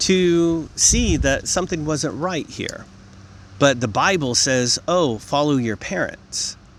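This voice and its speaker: A man with a fairly high pitch speaks at a very slow pace. His intonation is lively. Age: 50s. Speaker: vlogger. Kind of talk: monologue to camera. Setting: outdoors in a field. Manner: repetitive, frequent 'okay?' fillers.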